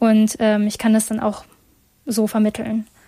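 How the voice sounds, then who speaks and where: A woman's voice sits at fairly high pitch, somewhat breathy, with a dark, mellow tone. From Germany, Essen (Ruhr area), Chinese family. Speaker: campus radio host. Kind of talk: casual talk show discussion.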